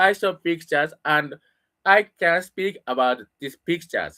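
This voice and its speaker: The speaker has a Japanese accent. The pace is very slow. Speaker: English learner. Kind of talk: casual monologue. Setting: home room. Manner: halting.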